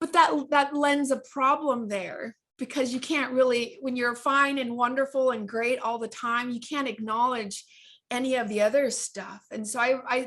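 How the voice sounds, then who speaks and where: In a slight Southern California accent, a woman speaks with a high pitch and fairly even intonation. She talks at a moderate pace. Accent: slight Valley girl. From Orange County, California. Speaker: author and life coach. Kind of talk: interview. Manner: halting.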